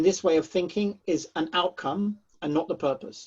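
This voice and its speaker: With a British accent, a man speaks at a moderate pace in a high pitch and a dark, mellow tone. His pitch varies in an ordinary way, and the background is quiet. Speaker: charity chief executive. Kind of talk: panel discussion answer. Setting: seminar with audience.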